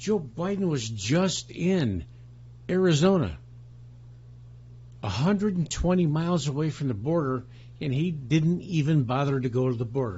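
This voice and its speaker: Amid audible room echo, a man with an American accent speaks at a moderate pace in a fairly high, somewhat breathy voice, using lively intonation and long, frequent pauses. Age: 60s. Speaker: political commentator. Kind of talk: political rant. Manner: animated; halting.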